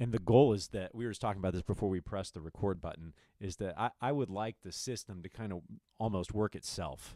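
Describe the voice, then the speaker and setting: Against a quiet background, a man with an American accent speaks very fast in a dark, mellow tone at fairly low pitch, with ordinary pitch variation and a dry sound with no echo. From US Midwest. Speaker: high school band director. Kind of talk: casual chat. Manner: animated, laughs often. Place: meeting room. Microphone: studio mic.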